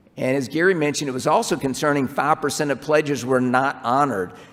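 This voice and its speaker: A man with a Southern US accent at a very fast pace and a medium pitch. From US South. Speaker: urologist. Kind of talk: conference talk. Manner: animated.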